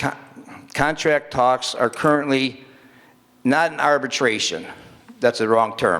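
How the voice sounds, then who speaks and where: This man has a bright, sharp tone, a medium pitch and ordinary pitch variation, with a Michigan accent. He talks at a fairly slow pace with long, frequent pauses. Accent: Midwestern US (Michigan). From Michigan, Dearborn Heights. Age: 60s. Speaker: city council member. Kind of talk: council meeting speech. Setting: council meeting in a school, with audience.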